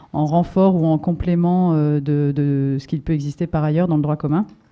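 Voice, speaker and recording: With fairly even intonation and a very deep, low pitch, a woman speaks at a moderate pace. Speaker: NGO project coordinator. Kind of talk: conference presentation. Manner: hesitant, many fillers.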